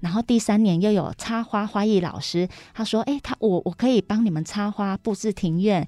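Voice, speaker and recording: Her voice has a dark, mellow tone. The woman speaks at a medium pitch with ordinary pitch variation. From southern Taiwan, Kaohsiung. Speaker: small business owner. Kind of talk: radio interview.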